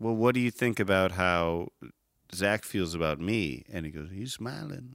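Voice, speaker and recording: The speaker has an American accent and ordinary pitch variation. The recording is very clean with a silent background. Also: man. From Chicago suburbs, Illinois. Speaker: podcast guest. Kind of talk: casual chat. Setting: studio, in person.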